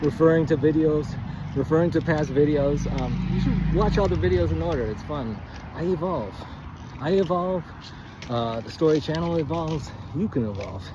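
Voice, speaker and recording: Pausing long and often, a man with a fairly high pitch and lively intonation speaks at a moderate pace amid noticeable background noise and audible room echo. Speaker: writing coach. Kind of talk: casual instructional monologue. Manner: halting, self-correcting; quiet, close to mic.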